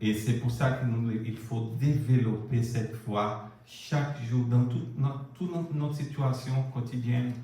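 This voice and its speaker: A man with a Brazilian accent speaks at a very slow pace and medium pitch with fairly even intonation. Audible room echo and noticeable background noise fill the recording. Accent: non-native French accent, Brazilian. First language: Portuguese (speaking French). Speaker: preacher. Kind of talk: sermon. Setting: church.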